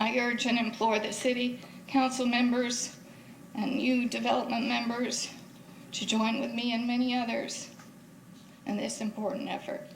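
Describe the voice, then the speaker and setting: Speaking at a moderate pace with long, frequent pauses, a woman with a high pitch keeps a monotone, flat intonation over noticeable background noise and audible room echo. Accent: American. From Florida, Clearwater. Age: 60s. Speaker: citizen speaker at public meeting. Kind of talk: public comment. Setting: city board meeting. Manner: halting.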